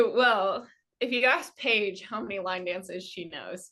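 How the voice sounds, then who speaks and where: A woman's voice carries a bright, sharp tone at a fairly slow pace. Her loudness swings widely. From California. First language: Armenian. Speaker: dancer. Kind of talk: casual chat.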